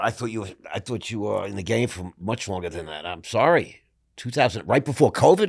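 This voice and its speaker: Here is a plain, everyday voice at a fairly quick pace. Its intonation is lively, and its loudness swings widely. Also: man, fairly low pitch for a man. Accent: American. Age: 60s. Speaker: podcast host. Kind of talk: casual interview chat.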